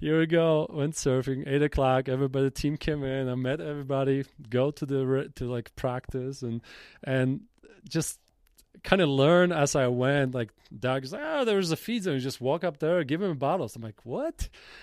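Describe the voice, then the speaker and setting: Recorded dry and close with no echo, a man with a Polish accent speaks at a moderate pace in a fairly high pitch with ordinary pitch variation. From Poland, Jelenia Gora. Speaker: cycling team manager. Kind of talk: casual interview. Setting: outdoors on a mountain top.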